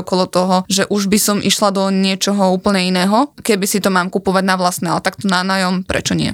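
The speech comes at a very fast pace with monotone, flat intonation. The sound is dry and close, with no echo. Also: woman. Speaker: podcast host. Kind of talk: casual chat.

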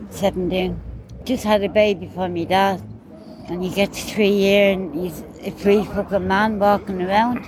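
Amid noticeable background noise, a woman of medium pitch speaks in a Dublin accent with monotone, flat intonation. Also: fairly slow pace. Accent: Irish, Dublin. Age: 40s. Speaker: recently released detainee. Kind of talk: street interview.

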